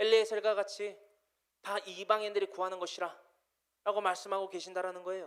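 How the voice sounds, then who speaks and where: The speech moves at a fairly quick pace. Long pauses come often. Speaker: pastor. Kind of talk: sermon.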